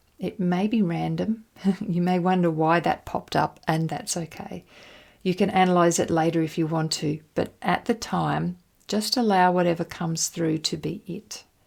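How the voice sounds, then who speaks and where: At a moderate pace, a woman with an ordinary speaking voice and a fairly low pitch keeps her intonation fairly even. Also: very clean recording, silent background. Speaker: hypnotherapist. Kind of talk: guided exercise.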